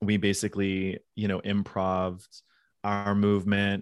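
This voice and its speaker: A man with an American accent speaks in a fairly low voice. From Pittsburgh, US. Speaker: former Broadway dancer. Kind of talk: casual interview.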